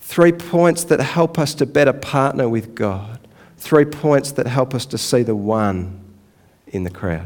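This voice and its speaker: A man in an Australian accent speaks at a fairly slow pace with very wide pitch swings. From Australia, Melbourne area. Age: 40s. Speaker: pastor. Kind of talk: sermon. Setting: church.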